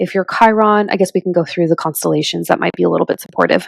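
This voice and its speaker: A woman's voice, dry and close with no echo. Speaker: astrologer. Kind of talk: tutorial.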